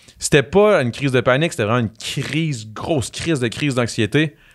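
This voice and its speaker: Animated and fairly quick, a man speaks at a medium pitch. His pitch varies in an ordinary way. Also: quiet background. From Quebec. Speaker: reality TV personality and musician; podcast guest. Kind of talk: casual chat. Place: studio. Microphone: studio mic.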